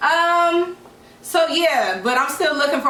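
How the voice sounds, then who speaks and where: A woman's raised, projected voice with lively intonation, audible room echo and noticeable background noise. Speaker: podcast co-host. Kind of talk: casual chat. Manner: loud.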